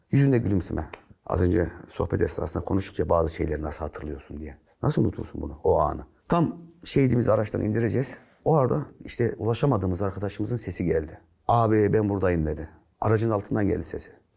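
A man with a fairly low pitch and a dark, mellow, somewhat breathy tone talks at a very fast pace with very wide pitch swings against a quiet background. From Central Anatolia, Turkey (Nevşehir); Central Anatolia, Turkey. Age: 50s. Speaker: retired gendarmerie officer; guest. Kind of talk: interview storytelling. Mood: earnest, emotional storytelling. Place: studio. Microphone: lapel.

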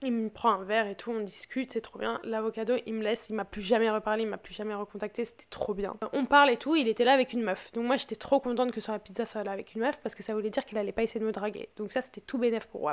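Over noticeable background noise, a woman speaks very fast at a fairly high pitch with fairly even intonation. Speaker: podcast host. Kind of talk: casual chat.

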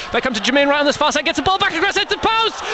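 A man's animated tone comes through over noticeable background noise. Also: dry sound with no echo. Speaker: radio match commentator. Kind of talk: live radio football commentary, archive match. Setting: stadium, at the match. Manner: fast, animated, excitable, rising with each goal; breathless play-by-play with quick fire phrasing. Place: stadium.

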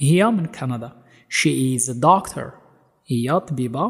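A man talks at medium pitch, his voice somewhat breathy and his intonation lively. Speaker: English teacher. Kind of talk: tutorial. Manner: slow.

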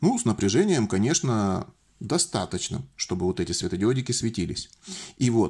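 Over a quiet background, a man talks at a fairly low pitch with a dark, mellow tone. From Russian Far East, Vladivostok; Russia. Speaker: electronics DIY video maker; electronics hobbyist demonstrating. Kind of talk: tutorial. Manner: jokey, informal. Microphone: phone near.

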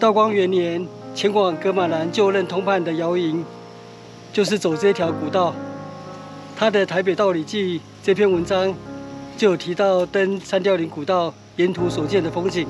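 Moderate pacing broken by long, frequent pauses, clear background music, and a dry sound without echo. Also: man. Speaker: hiking vlogger. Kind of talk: travel vlog narration. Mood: calm, informative, cheerful. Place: open country. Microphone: phone near.

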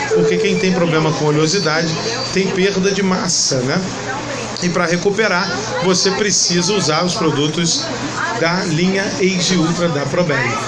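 Crowd noise fills the background as a man with a high voice speaks at a moderate pace. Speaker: announcer / product presenter. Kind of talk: product promotion presentation to camera.

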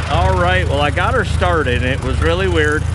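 A man talks at a moderate pace over loud background noise. The sound itself is dry, with no echo. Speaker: antique tractor hobbyist. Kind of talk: casual vlog chat. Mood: relaxed, folksy. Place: farm machine. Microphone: phone near.

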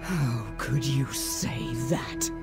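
A put-on character voice at a very slow pace, with ordinary pitch variation and loud music in the background. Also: woman, extremely low pitch for a woman.

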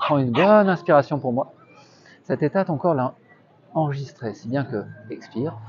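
At a moderate pace, a man speaks in a somewhat breathy, fairly high voice with lively intonation, over light background noise. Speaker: street hypnotist. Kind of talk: hypnosis induction, guided relaxation. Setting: outdoors, in a park. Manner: soft-spoken, repetitive, gentle. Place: garden. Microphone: lapel.

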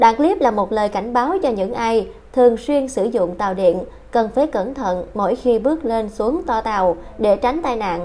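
Lively intonation and a moderate pace come through above noticeable background noise. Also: woman, fairly high pitch for a woman. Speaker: news presenter. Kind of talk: news reading.

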